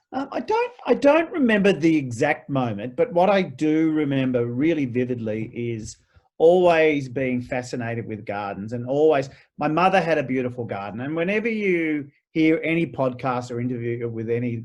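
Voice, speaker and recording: The speaker has an Australian accent and a fairly quick pace. Pitch variation is ordinary. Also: man. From Australia, Melbourne (Vermont, outer east). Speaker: garden designer and author. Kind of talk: interview. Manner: halting, with repeated false starts.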